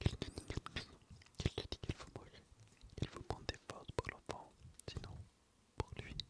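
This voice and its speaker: Someone whispers at a moderate pace, with long, frequent pauses. Noticeable background noise is present. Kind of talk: inaudible whispered reading of a novel. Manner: whispered, soft.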